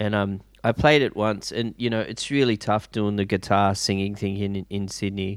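With an Australian accent, a man talks at a moderate pace with hardly any pauses, using a fairly low pitch and fairly even intonation. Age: 40s. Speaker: guitarist and DJ. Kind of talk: casual chat. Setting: video call.

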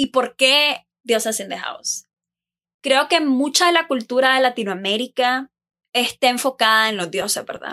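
On a very clean recording with a silent background and a dry, close sound with no echo, a woman speaks at a moderate pace in a high pitch, her tone bright and sharp and her intonation lively. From Nicaragua. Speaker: podcast host. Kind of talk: casual monologue. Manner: animated.

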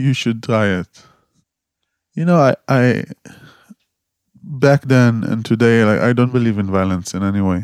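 A man with an Israeli accent talks at a fairly slow pace, with long, frequent pauses. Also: medium pitch for a man, ordinary pitch variation. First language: Hebrew. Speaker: activist and photographer. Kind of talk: interview conversation.

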